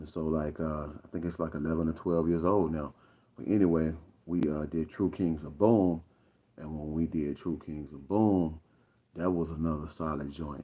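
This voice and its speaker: The voice carries a Southern US accent. Its intonation is fairly even. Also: man. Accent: Southern drawl. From Arkansas, US South. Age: 50s. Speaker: rapper. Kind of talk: casual livestream monologue. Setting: livestream. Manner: halting, many fillers.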